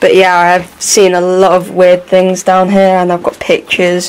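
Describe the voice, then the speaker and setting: A woman talks at a fairly slow pace. Light background noise can be heard. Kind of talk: casual vlog narration. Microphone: phone near.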